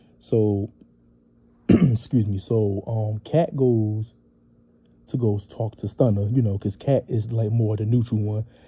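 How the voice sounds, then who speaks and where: Long, frequent pauses break up this man's somewhat breathy speech, its intonation fairly even. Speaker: reality TV recap youtuber. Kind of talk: casual show recap. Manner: casual, filler-heavy.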